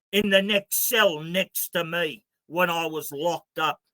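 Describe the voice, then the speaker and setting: A man's raised, projected voice with an Australian accent, bright, sharp and animated in tone, at a fairly slow pace with ordinary pitch variation, in a dry, close sound with no echo. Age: 60s. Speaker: activist spokesman. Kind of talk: interview.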